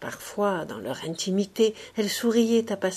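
The delivery is a natural reading voice. Its intonation stays fairly even.

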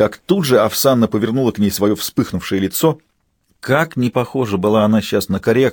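Natural-voiced reading aloud over a quiet background, pitch varying in an ordinary way

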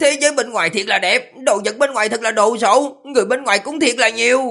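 A man uses a put-on character voice, extremely high and bright with a sharp edge, talking fast with ordinary pitch variation on a very clean recording against a silent background.

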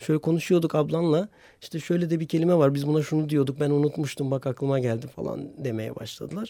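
This man speaks at a fairly quick pace with a dark, mellow tone. His pitch is fairly high, with ordinary variation. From Hopa, Artvin, northeastern Turkey. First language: Hemshin (Homshetsi) (speaking Turkish). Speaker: teacher and radio programme maker. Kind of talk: casual interview.

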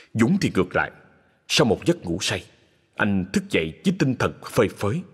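The voice reading aloud here is natural. It is a read passage.

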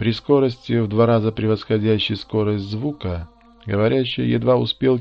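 With ordinary pitch variation, a text is read aloud in a natural voice.

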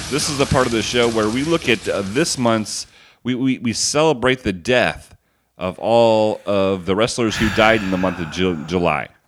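A man speaks in a normal speaking voice at a medium pitch. His intonation is lively and his pace is moderate. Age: 40s. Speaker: wrestling podcast co-host. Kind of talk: casual chat.

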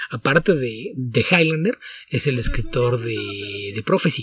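A man's medium-pitched voice comes across somewhat breathy. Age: 40s. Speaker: comics podcast co-host and translator. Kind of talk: casual chat.

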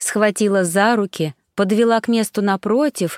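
Fairly even intonation in a natural reading voice, set against a quiet background

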